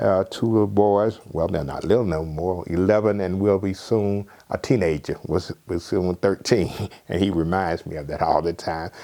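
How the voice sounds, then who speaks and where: With a Southern US accent, a man speaks at a moderate pace in a very deep, low pitch, his tone dark and mellow and his intonation fairly even. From southwest Georgia, USA. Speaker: retired fraternity elder. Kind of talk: interview answer.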